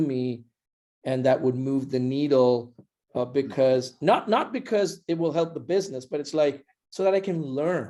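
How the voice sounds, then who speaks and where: With a non-native accent, a man speaks at a fairly slow pace and a fairly high pitch, with ordinary pitch variation and a dark, mellow tone. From India. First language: not English. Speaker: startup founder. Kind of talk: podcast interview.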